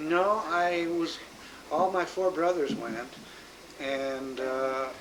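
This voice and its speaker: A man with an American accent speaks very slowly at a fairly high pitch, with ordinary pitch variation. Noticeable background noise and audible room echo are present. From US Midwest, Omaha, Nebraska. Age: 60s. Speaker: grandfather interviewed about his life. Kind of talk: oral history interview. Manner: halting, many fillers.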